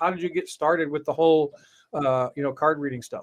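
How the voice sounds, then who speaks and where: Fairly quick and fairly high-pitched, a man speaks with fairly even intonation in an American accent. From Florida. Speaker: podcast host. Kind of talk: interview.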